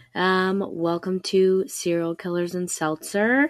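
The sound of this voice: A woman speaks at a slow pace. Her pitch is fairly low.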